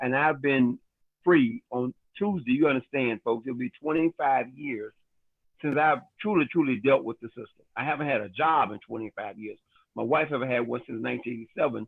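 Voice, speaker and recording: In a normal speaking voice, a man of medium pitch talks at a fairly quick pace with ordinary pitch variation. His loudness swings widely. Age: 60s. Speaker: network marketing leader. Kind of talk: Q&A on a business training call. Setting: livestreamed online call.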